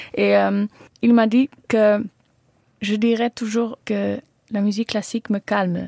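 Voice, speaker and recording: A woman with a Dutch accent and a dark, mellow tone, monotone and flat at a very slow pace with long, frequent pauses, in a dry, close sound with no echo. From Netherlands. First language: Dutch (speaking French). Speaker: singer-songwriter. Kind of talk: radio interview. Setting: studio. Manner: halting.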